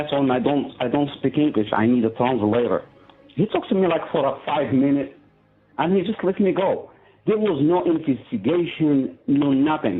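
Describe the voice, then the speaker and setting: A man's fairly high voice, fairly quick and lively in intonation, over music in the background. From Morocco. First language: Arabic. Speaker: prisoner. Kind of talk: testimony. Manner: halting.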